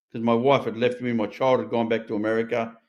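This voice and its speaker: Someone with an Australian accent speaks at a moderate pace over a quiet background. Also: man. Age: 60s. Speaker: recovered addict and ex-prisoner. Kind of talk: interview testimony. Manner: animated.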